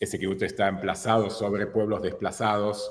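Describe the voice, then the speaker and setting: A man's fairly low voice in a Hebrew accent. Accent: Hebrew-marked R still noticeable. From Argentina, born in Israel. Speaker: filmmaker and photographer. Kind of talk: interview. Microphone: low return volume, quiet.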